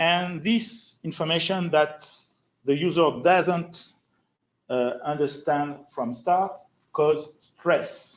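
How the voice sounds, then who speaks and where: This man has a French accent and a high pitch. He speaks at a very slow pace with ordinary pitch variation. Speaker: FileMaker designer and trainer. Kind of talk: user group presentation.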